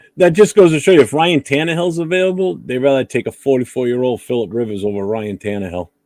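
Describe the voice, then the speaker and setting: A man with an East Coast US accent and a medium pitch talks at a very fast pace with hardly any pauses and very wide pitch swings, in a dry, close sound with no echo. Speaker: sports podcast co-host. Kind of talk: casual sports chat. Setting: live streamed podcast.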